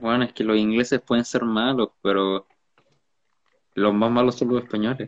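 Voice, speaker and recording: With a Chilean accent, a man speaks at a moderate pace and medium pitch. His delivery is flat and monotone, broken by long, frequent pauses. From Chile, Valparaíso. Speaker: podcast co-host. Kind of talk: casual chat.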